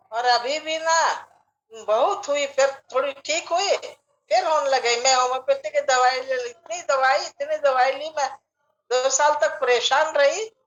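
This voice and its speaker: Her pitch is high, and this woman's voice varies in pitch in an ordinary way. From Marwari community, Rajasthan, India. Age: 70s. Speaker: meditation participant. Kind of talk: casual chat.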